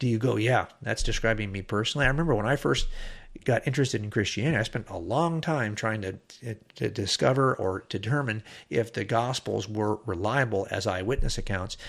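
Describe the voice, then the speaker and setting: Over a very clean recording with a silent background, a man with an unremarkable speaking voice talks fairly quickly at medium pitch, with ordinary pitch variation. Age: 60s. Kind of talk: podcast monologue.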